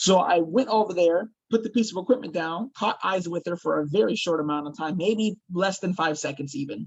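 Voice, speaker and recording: The voice is loud, with lively intonation and a fairly quick pace. It goes on with hardly any pauses. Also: man, high pitch for a man. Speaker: actor and paranormal investigator. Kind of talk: interview storytelling.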